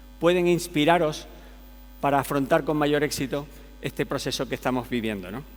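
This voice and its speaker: Here a man speaks with a Canarian accent. His pace is fairly quick. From Canary Islands. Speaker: tech company executive, conference speaker. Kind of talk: conference keynote. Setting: stage with audience.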